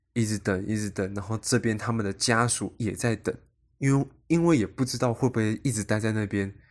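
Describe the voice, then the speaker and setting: A man talks at a fairly quick pace and a fairly low pitch in a normal speaking voice. The recording is very clean with a silent background. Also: ordinary pitch variation. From Taiwan. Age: 20s. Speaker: podcast host, aspiring actor. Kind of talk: solo podcast monologue.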